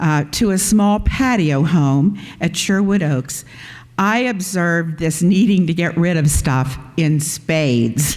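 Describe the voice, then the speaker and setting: A woman speaks at a very slow pace with fairly low pitch and lively intonation. Her loudness stays very even, with audible room echo. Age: 70s. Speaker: pastor. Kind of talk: sermon.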